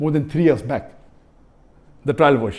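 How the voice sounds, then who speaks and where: A man's fairly high voice with a dark, mellow tone and vocal fry. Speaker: Islamic preacher answering a question. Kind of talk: Q&A lecture answer.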